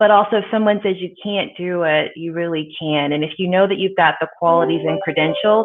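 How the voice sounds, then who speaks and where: A moderate pace with fairly even intonation. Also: woman. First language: German. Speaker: company president. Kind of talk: interview.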